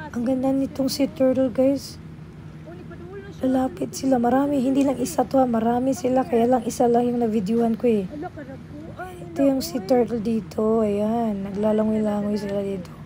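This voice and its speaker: Against noticeable background noise, a woman speaks at a moderate pace in a fairly high pitch. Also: fairly even intonation. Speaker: travel vlogger. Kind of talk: travel vlog.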